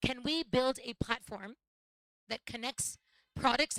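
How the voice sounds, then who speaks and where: In an unremarkable speaking voice, a woman with an American accent talks at a moderate pace with fairly even intonation. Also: dry, close sound with no echo. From United States. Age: 40s. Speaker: social entrepreneur. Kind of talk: panel talk at live event.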